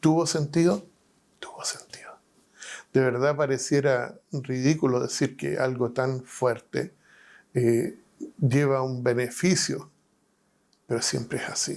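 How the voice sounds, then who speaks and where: A man speaks at a very slow pace, his intonation fairly even. He leaves long, frequent pauses. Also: medium pitch for a man. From Chile, Valparaíso. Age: 60s. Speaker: pastor and prison chaplain. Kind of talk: testimony. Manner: halting.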